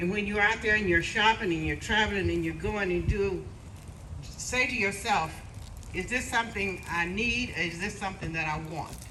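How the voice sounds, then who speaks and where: Here a woman speaks at a moderate pace with medium pitch and ordinary pitch variation. Noticeable background noise and audible room echo are in the recording. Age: 80s+. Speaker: community volunteer and great-great-grandmother. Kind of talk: speech at a family brunch event.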